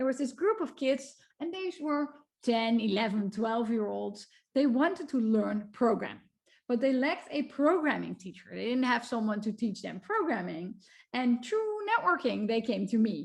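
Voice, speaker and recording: In a Dutch accent, a woman speaks at a high pitch and a moderate pace with lively intonation. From Netherlands. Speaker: computer science researcher. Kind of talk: lecture.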